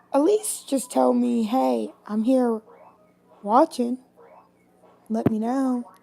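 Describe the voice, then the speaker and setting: Speaking in a Tennessee accent, a woman goes at a very slow pace with long, frequent pauses. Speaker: livestreamer. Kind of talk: casual chat.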